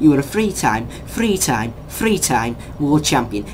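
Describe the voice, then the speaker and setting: The speaker has an English accent. Noticeable background noise runs behind the voice. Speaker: YouTuber discussing sports news. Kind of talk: opinion rant vlog. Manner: fast; animated.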